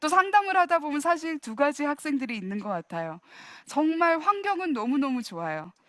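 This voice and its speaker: A woman's high, animated voice with very wide pitch swings and a dry, close sound with no echo. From US (Virginia), from age 8; Korea from 13. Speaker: professor giving a church talk. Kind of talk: lecture. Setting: church. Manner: animated, engaging the audience with questions.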